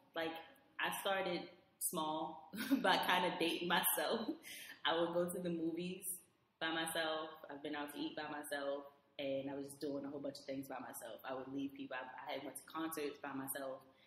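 A woman with an American accent speaks at a moderate pace in a very deep, low pitch, with fairly even intonation. Her loudness swings widely, and room echo is audible. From Baltimore, Maryland. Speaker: IT support worker and traveler. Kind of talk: casual chat.

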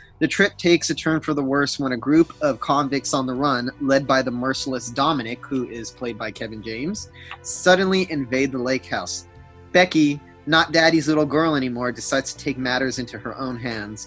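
The speech runs at a moderate pace with ordinary pitch variation and big swings in loudness. Faint music plays behind the dry sound, which has no echo. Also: man. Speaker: podcast co-host. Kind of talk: reading horror news and giving commentary. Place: home room. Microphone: webcam.

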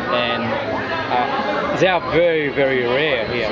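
A man speaks with a French accent. Loud background noise is present. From France. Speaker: clock repair business owner. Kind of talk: interview answer. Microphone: phone near.

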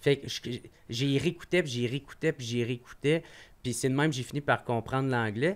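A man's normal speaking voice at medium pitch, moderate pace and ordinary pitch variation. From Quebec, Gatineau. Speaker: comedian. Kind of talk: casual chat. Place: studio. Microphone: studio mic.

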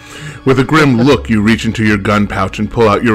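The passage is read aloud in a natural voice.

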